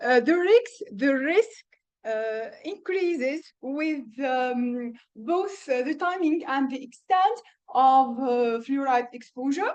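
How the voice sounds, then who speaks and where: Speaking very slowly with a Tunisian accent, a woman uses a high pitch and lively intonation. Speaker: dental professor. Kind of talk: conference presentation. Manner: halting, many filler sounds.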